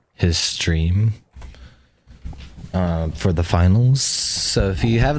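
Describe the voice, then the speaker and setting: Audible room echo surrounds this recording. A man speaks at a very slow pace. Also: long, frequent pauses, very even loudness. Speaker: gaming streamer. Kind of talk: casual live stream chat. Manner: halting.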